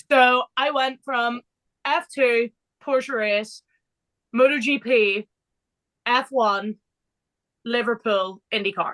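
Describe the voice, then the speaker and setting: A woman with an English accent speaks at a high pitch and a very slow pace, with long, frequent pauses. The background is quiet, and the sound is dry and close with no echo. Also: ordinary pitch variation. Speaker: motorsport podcast co-host. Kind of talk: casual chat. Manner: animated.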